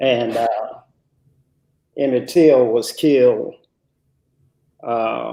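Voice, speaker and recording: A man talks at a very slow pace with an American accent. He leaves long, frequent pauses. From US South (Mississippi, near Canton). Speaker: businessman. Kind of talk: interview. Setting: live stream.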